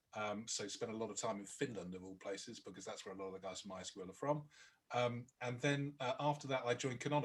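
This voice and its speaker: Speaking with a British accent, a man keeps his intonation fairly even. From Britain. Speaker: product marketing director. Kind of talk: webinar talk. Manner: halting, many fillers.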